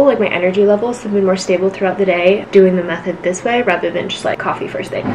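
Over light background noise, a woman talks at a very fast pace with ordinary pitch variation. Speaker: lifestyle vlogger. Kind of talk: casual vlog chat. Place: home room. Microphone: camera far.

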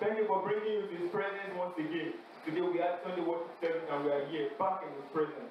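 Through strong room echo and light background noise, a high-pitched man speaks very fast with fairly even intonation. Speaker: campus fellowship prayer leader. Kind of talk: fervent congregational prayer and worship exhortation. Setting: university fellowship gathering with audience. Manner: urgent, rhythmic, repeating exhortations; fervent, exhorting. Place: hall.

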